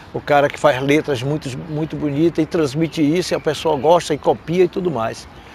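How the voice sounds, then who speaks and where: A man with a fairly high-pitched voice talks at a moderate pace over noticeable background noise. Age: 70s. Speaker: capoeira master. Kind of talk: interview storytelling. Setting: event in Madrid.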